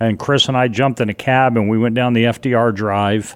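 Here a man with an American accent talks at a fairly low pitch in monotone, flat intonation. The recording is very clean, with a silent background. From New York area. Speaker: 9/11 witness and former Marine. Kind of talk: casual chat. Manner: halting, with fillers.

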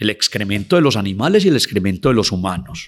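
Talking fairly quickly, a man lets his pitch swing very widely. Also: very clean recording, silent background. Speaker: anthropologist. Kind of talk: interview, storytelling about local history.

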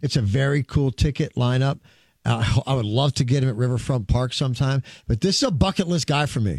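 On a very clean recording with a silent background and a dry, close sound with no echo, a man speaks at a medium pitch and a fairly quick pace. His voice is somewhat breathy, with very even loudness and ordinary pitch variation. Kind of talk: radio DJ patter, hosting a music show. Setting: radio studio. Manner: fast, chatty, rambling.

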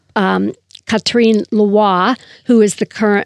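Medium-pitched woman with a normal speaking voice, fairly slow pace and ordinary pitch variation, in a dry, close sound with no echo over a quiet background. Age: 60s. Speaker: author. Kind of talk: interview.

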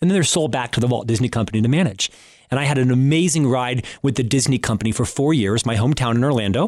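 A man with an American accent at a medium pitch, very fast, with ordinary pitch variation and very even loudness, in a very clean recording with a silent background. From Florida, US. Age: 50s. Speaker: radio show host. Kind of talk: interview and monologue on leadership.

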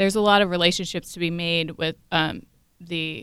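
This woman has a fairly low pitch and an American accent. Her tone is bright and sharp, at a moderate pace. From southern Ohio.

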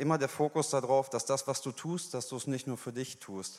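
This man talks at a fairly quick pace in an ordinary speaking voice. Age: 20s. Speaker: church member giving testimony. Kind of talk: sermon testimony. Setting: church stage.

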